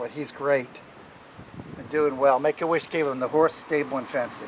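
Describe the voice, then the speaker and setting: A man with a fairly high pitch speaks in a monotone, flat intonation at a moderate pace, with big swings in loudness. Noticeable background noise sits behind him. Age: 60s. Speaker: former ship electronics technician. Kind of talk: personal reminiscence. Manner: hesitant, with fillers.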